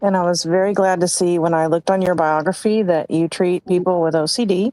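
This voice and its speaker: A woman of medium pitch, dark, mellow tone, ordinary pitch variation, dry, close sound with no echo. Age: 60s. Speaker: caller. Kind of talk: call-in question. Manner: halting.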